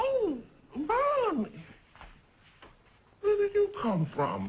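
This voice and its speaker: A woman with an American accent speaks at a very slow pace over light background noise. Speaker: actress. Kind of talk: TV sitcom dialogue. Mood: flustered, fussy. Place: home room.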